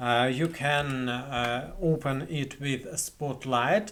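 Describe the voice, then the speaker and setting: A man with a Russian accent. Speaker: video editing tutorial creator. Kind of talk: tutorial. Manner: halting, many fillers and repetitions. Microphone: webcam.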